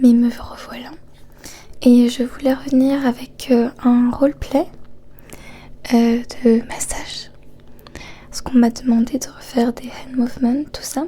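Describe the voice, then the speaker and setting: Over noticeable background noise, a soft-spoken woman talks in a high pitch with monotone, flat intonation. Her pace is very slow, with long, frequent pauses. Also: big swings in loudness. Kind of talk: casual talk to camera introducing the video.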